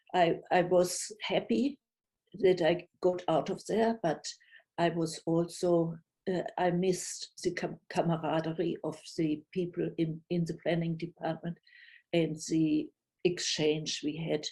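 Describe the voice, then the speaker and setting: Speaking at a very slow pace with long, frequent pauses, a woman with a strong German accent has a fairly low pitch and a dark, mellow tone. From Germany. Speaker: retired city planner, storyteller. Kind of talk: personal storytelling. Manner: halting, with many fillers.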